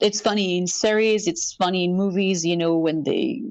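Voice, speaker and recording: A woman's medium-pitched voice, with ordinary pitch variation, unfolds at a fairly slow pace. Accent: slight French. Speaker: actress. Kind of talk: interview. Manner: halting.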